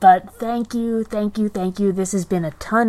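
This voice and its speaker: Soft-spoken delivery moves at a moderate pace with fairly even intonation. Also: woman. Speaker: podcast host. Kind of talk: casual chat.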